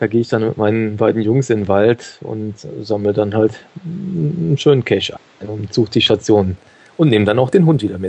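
The voice moves at a fairly quick pace with ordinary pitch variation, long, frequent pauses and big swings in loudness. Noticeable background noise runs underneath. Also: man, fairly low pitch for a man. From Germany, Cologne. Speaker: podcaster and dog owner. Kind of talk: interview.

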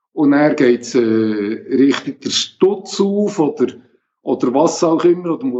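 His is an unremarkable speaking voice, a man's, fairly high in pitch with lively intonation. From Switzerland, Bern region. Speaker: geocacher with multiple sclerosis, wheelchair user. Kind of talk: interview.

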